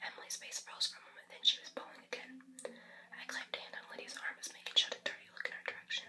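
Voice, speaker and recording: Very fast whispering over noticeable background noise. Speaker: ASMR book reader. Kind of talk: read-aloud novel chapter. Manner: whispered.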